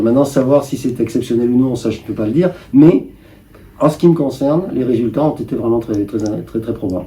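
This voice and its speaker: A man's somewhat breathy voice sits at a medium pitch with a dark, mellow tone and ordinary pitch variation. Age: 70s. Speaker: cancer patient. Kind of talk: interview answer.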